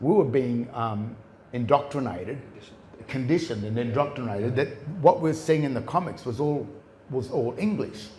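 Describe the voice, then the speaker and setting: With an Australian accent, a man speaks at a moderate pace and ordinary pitch variation. Room echo is audible. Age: 60s. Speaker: common law researcher, presenter. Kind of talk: live presentation to an audience. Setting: stage with audience. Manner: halting, many restarts.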